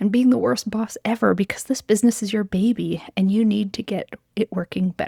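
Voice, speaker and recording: Somewhat breathy and gentle in tone, this dark, mellow voice moves at a fairly quick pace with ordinary pitch variation. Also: woman. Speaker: occupational therapist business coach. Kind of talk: encouraging spoken letter. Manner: gentle, empathetic.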